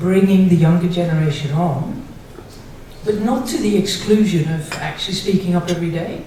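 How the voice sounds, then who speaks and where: There is audible room echo around a woman's voice. Noticeable background noise can also be heard. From Netherlands. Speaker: audience member. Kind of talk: audience question.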